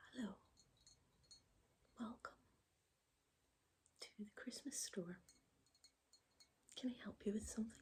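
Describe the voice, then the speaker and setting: Soft-spoken and gentle in tone, this voice moves at a fairly slow pace with long, frequent pauses. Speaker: ASMR creator. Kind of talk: ASMR roleplay, personal shopper. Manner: soft-spoken, gentle.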